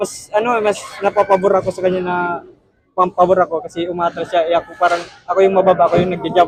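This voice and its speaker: A man's high-pitched voice at a very fast pace, in a monotone, flat intonation. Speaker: professional boxer. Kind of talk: post-fight interview. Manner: halting, many fillers.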